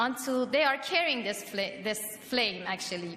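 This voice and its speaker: A woman speaks at a moderate pace in a high voice. Noticeable background noise runs underneath. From Europe, of Iranian family. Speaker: political activist. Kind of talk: rally speech. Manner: halting, many fillers.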